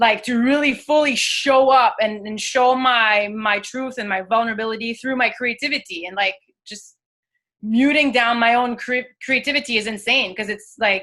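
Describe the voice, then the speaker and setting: A woman with a French accent talks at a moderate pace in a bright, sharp tone, with fairly even intonation and big swings in loudness. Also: fairly high pitch for a woman. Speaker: actress and singer. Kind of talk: coaching session on video call. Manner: halting.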